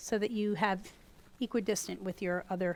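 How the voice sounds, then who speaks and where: A woman with an American accent at a fairly slow pace, her pitch varying in an ordinary way. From US East Coast. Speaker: gourd artist and teacher. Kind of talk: tutorial. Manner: loud; animated.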